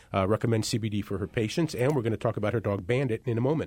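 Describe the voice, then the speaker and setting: A man with a normal speaking voice talks at medium pitch with ordinary pitch variation, in a dry, close sound with no echo. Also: very clean recording, silent background. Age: 50s. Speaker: radio talk show host. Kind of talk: radio talk show.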